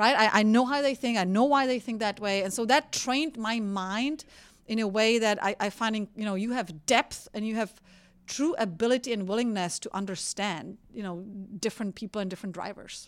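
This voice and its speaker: A fairly high-pitched woman's voice with a Czech accent, on a very clean recording with a silent background. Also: ordinary pitch variation, fairly quick pace. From Czech Republic, rural village. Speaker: energy executive. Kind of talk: interview.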